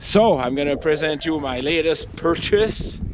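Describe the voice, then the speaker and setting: There is noticeable background noise. A man talks with a Quebec French accent. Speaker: outdoor vlogger. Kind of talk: casual vlog narration. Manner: halting.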